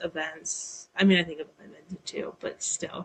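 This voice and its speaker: A woman is speaking. Her pace is fairly slow. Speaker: graphic designer. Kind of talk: casual chat. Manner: halting.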